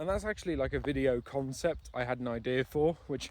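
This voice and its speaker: A man speaks quietly. His intonation is lively. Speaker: vlogger. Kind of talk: walking vlog monologue. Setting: outdoors on a walk. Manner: casual, chatty; quieter voice in village.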